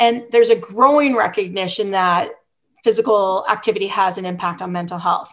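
With a plain, everyday voice, a woman speaks at medium pitch and a moderate pace with ordinary pitch variation against a quiet background. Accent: Canadian. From British Columbia, Canada. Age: 40s. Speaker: professor and soccer coach. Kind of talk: interview.

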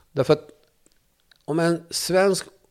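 A man at a fairly slow pace, in a very clean recording with a silent background. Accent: Kurdish. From Turkey (Kurdish). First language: Kurdish (speaking Swedish). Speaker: journalist and debater. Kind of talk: interview conversation. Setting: studio.

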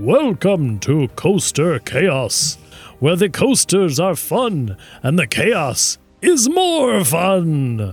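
A man performs a put-on character voice, high-pitched with very wide pitch swings at a very slow pace, with faint music in the background. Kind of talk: cheerful announcement.

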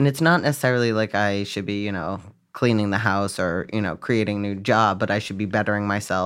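Heard on a very clean recording with a silent background, a man with an American accent uses an ordinary speaking voice, fairly low in pitch, at a fairly quick pace. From Boston area, Massachusetts. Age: 30s. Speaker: chef and restaurant owner. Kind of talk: casual chat. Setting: studio.

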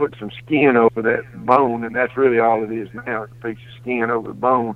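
In a Mississippi accent, the speaker talks at a fairly slow pace. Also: man. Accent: Southern US (Mississippi). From US South, Mississippi. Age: 60s. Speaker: hunter. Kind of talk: storytelling.

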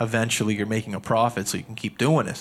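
On a very clean recording with a silent background, a man speaks with a Nova Scotia accent and fairly even intonation. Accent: Atlantic Canadian (Nova Scotia). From Canada, Halifax, Nova Scotia. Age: 20s. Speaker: podcast host and entrepreneur, former hockey player. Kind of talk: casual interview chat. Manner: hesitant, many fillers and repeated words.

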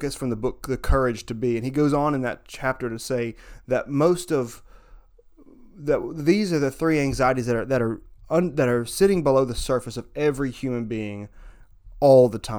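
The speaker is a man with a medium pitch. He talks at a moderate pace with ordinary pitch variation. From US South, northern Alabama. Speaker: musician and writer. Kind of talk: interview. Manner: halting, with fillers and repetitions.

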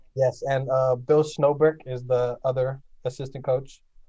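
Fairly slow, somewhat breathy speech in an American accent, with monotone, flat intonation. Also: man. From US West Coast, northeast Los Angeles. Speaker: college volleyball player. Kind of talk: casual interview. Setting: remote call.

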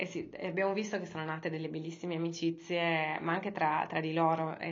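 In a room with audible echo, a woman talks at a fairly quick pace in a fairly low, monotone voice with flat intonation. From Sardinia, Cagliari. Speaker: yoga teacher and startup founder. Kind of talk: interview.

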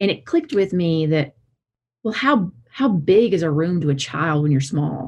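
A woman's fairly low voice in a Southern US accent, lively in intonation, at a moderate pace. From south Alabama. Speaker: licensed counselor and practice owner. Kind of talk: interview conversation.

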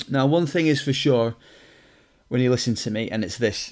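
Recorded very cleanly over a silent background, a man with a Lancashire accent speaks at a medium pitch with ordinary pitch variation. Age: 30s. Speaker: personal trainer. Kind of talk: solo podcast introduction. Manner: casual, with fillers.

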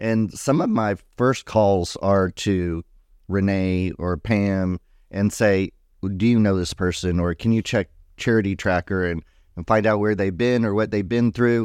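An unremarkable speaking voice from a man with an American accent, fairly low in pitch and fairly even in intonation, with a dry, close sound, no echo and a quiet background. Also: fairly slow pace. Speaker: YMCA director. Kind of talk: casual chat.

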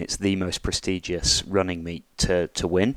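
Recorded very cleanly against a silent background, a man with a British accent speaks at a very deep, low pitch in a dry, close sound with no echo. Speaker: podcast host. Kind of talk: casual chat.

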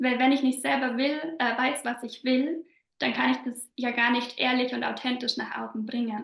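In a slight Bavarian accent, a woman with a high voice talks at a moderate pace in a flat, monotone delivery. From southern Bavaria. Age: 20s. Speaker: business coach. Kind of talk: podcast interview.

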